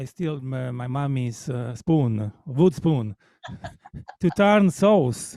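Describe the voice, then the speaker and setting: Speaking with an Italian accent, a man has a dark, mellow tone and lively intonation at a very slow pace. The sound is dry and close, with no echo. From Sicily, Italy. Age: 50s. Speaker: jazz musician and music teacher. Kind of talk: interview. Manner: halting.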